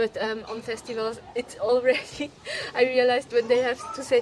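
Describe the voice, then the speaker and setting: Noticeable background noise sits behind a woman's voice. She talks at a fairly quick pace and a high pitch. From Switzerland, Polish family. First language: Polish and Swiss German. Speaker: film director. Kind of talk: interview. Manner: halting, many fillers and repetitions.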